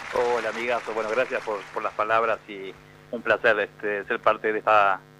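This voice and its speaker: With noticeable background noise around him, a man talks at a moderate pace in a fairly low pitch with monotone, flat intonation. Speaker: TV sports producer. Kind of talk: casual interview. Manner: halting, fillers.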